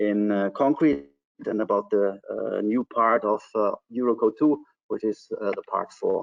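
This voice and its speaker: Speaking at a fairly slow pace, a man talks in a German accent. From Germany. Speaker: civil engineer. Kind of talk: technical webinar presentation. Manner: hesitant, many fillers.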